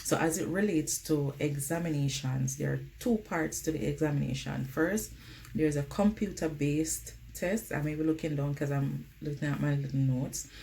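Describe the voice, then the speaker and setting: A woman talks at a moderate speed while background noise remains noticeable. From Jamaica. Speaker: nurse vlogger. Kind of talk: casual vlog advice. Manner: conversational, uses um often.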